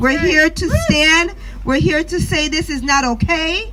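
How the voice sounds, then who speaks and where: A woman's high, raised, projected voice with a Jamaican accent, fairly slow, amid audible room echo and noticeable background noise. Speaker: activist mother. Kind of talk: protest speech. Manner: impromptu.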